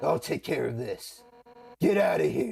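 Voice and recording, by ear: Using a put-on character voice, a man sounds raspy and gruff at a moderate pace.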